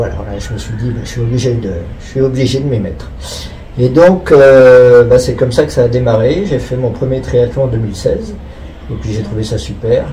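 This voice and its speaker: A man at medium pitch with ordinary pitch variation, amid audible room echo and noticeable background noise. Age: 60s. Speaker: amateur triathlete. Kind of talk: interview.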